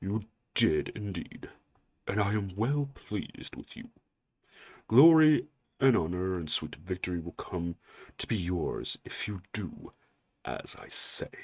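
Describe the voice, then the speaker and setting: A man puts on a character voice, fairly low in pitch and fairly slow, with long, frequent pauses on a very clean recording with a silent background. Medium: read story. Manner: silky, condescending.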